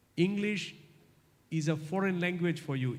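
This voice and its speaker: Room echo is audible as a man talks at a fairly slow pace with fairly even intonation. His tone is dark and mellow, and somewhat breathy. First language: non-English. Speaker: guest lecturer. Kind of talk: lecture Q&A.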